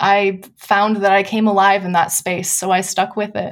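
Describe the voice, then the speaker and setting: A woman with an American accent and monotone, flat intonation. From US Midwest (Wisconsin). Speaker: nonprofit program director. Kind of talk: interview.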